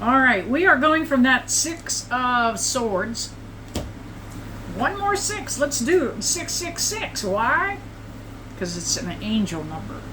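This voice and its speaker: Amid audible room echo and noticeable background noise, a woman with a high pitch speaks at a very slow pace, with very wide pitch swings and long, frequent pauses. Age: 70s. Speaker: psychic tarot reader. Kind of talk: tarot reading livestream. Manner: casual, conversational.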